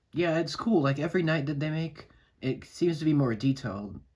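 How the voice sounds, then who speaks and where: A somewhat breathy voice carries the speech. Everything else is silent in this very clean recording. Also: man. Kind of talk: casual toy review to camera. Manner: casual, hesitant.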